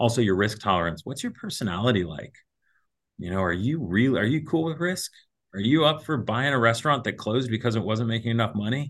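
Speaking at a very fast pace with lively intonation, a man with an American accent holds a medium pitch. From US Midwest (Ohio, Kentucky). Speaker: financial advisor. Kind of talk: casual interview.

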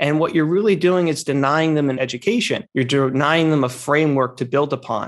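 A man talks fairly quickly in a normal speaking voice, fairly high in pitch with ordinary pitch variation. His loudness stays very even, he hardly pauses, and the background is quiet. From northern New Jersey. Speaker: financial planner and podcast host. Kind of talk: interview conversation.

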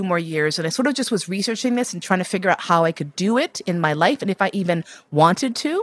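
A woman with an American accent speaks in a normal speaking voice at a fairly low pitch, fairly quickly and with lively intonation. The sound is dry and close with no echo, in a very clean recording with a silent background. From New York City. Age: 50s. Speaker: BDSM educator and writer. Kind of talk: life story interview.

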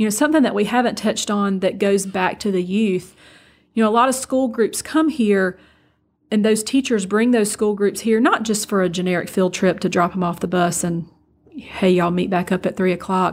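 Over a very clean recording with a silent background, a woman with a medium pitch speaks at a fairly quick pace with a Southern US accent. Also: ordinary pitch variation. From south Georgia, US. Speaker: agricultural expo marketing executive. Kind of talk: interview.

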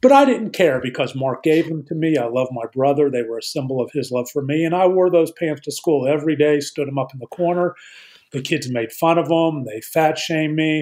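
A man with an ordinary speaking voice, fairly high in pitch, at a fairly quick pace with ordinary pitch variation. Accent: American. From Pittsburgh, Pennsylvania. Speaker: attorney, author and addiction recovery advocate. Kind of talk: interview, personal testimony.

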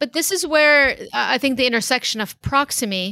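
A woman talks at a fairly quick pace with ordinary pitch variation and a bright, sharp tone. The recording is very clean with a silent background and a dry, close sound with no echo. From San Diego, California, then Lebanon from about age ten. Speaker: surgeon and tech company founder. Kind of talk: interview.

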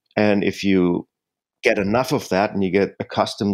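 In a German accent, a man speaks at a moderate pace with a very deep, low pitch, recorded with a dry, close sound with no echo and a quiet background. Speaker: jazz pianist and singer-songwriter. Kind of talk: interview.

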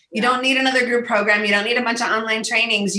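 A woman speaks with an animated tone. Her pitch sits fairly high. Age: 50s. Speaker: business coach. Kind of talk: interview.

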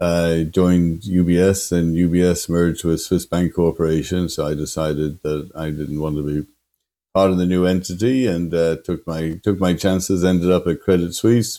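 Very deep and low in pitch, a man's dark, mellow voice moves at a moderate pace with fairly even intonation. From Ireland, Dublin. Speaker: technology executive. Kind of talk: interview. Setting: remote call.

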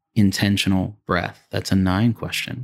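Calm in tone with fairly even intonation, the voice sounds dry and close with no echo on a very clean recording with a silent background. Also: man. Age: 40s. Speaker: functional neurologist. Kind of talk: interview.

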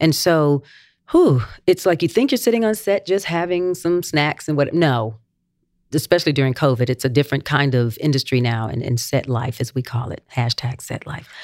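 A woman's very deep, low voice with an American accent, in a very clean recording with a silent background. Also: lively intonation, moderate pace. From North Carolina, Gastonia. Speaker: singer and actress, music teacher. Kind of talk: interview. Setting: school campus recording.

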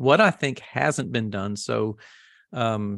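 A man with an American accent uses a plain, everyday voice at a fairly slow pace, with ordinary pitch variation and a dry, close sound with no echo on a very clean recording with a silent background. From US South. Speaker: massage therapist and educator. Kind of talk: interview.

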